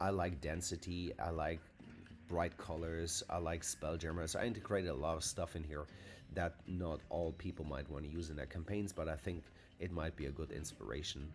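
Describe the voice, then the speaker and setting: The speaker has a non-native accent and a somewhat breathy voice. Intonation stays fairly even at a moderate pace. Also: man, very deep, low pitch for a man. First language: not English. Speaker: fantasy map maker and tabletop game master. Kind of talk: tutorial. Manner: halting, many filler sounds; casual.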